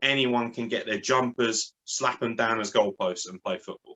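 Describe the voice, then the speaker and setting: A man with a southern English accent at a moderate pace. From southern England, born in Lincoln. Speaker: graphic designer and wrestling podcaster. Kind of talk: casual interview. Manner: animated.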